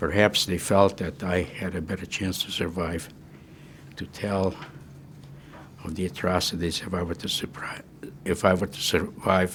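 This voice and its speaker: A whispering man, medium tempo, long pauses coming often. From Czechoslovakia (Munkac, Carpathian Ruthenia). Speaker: Holocaust survivor. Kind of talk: testimony. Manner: halting.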